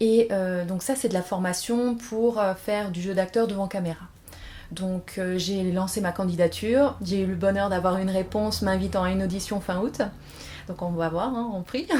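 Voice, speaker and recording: A medium-pitched female voice at a moderate pace with fairly even intonation. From France. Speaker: aspiring actress, former pharmacist. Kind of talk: interview. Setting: at home. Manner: hesitant, many fillers.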